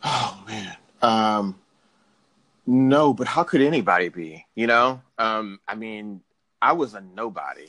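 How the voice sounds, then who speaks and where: A man with an American accent, medium pitch and a bright, sharp tone, lively in intonation, at a very slow pace with long, frequent pauses. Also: big swings in loudness. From Houston, Texas. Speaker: sports journalist. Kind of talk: interview.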